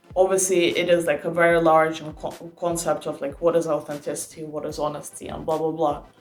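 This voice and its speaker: Noticeable background noise sits behind a woman with a fairly low pitch. She talks at a fairly quick pace with hardly any pauses and big swings in loudness. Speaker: youtuber giving startup advice. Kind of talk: casual advice monologue. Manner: animated.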